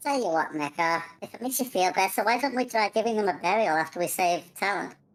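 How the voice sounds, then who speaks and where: Putting on a character voice, a woman rattles along at a very fast pace and medium pitch with hardly any pauses. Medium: actual play. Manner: casual, matter-of-fact.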